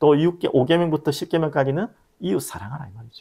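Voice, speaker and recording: A man with a strong Gyeongsang accent speaks at a fairly quick pace and a fairly high pitch. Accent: Gyeongsang dialect, strong intonation. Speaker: pastor. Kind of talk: sermon.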